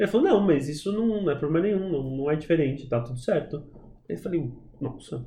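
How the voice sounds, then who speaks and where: At a fairly high pitch, a man talks fairly quickly in a dark, mellow, somewhat breathy tone with lively intonation and audible room echo. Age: 30s. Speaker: adoptive father, actor by training. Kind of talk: casual interview chat.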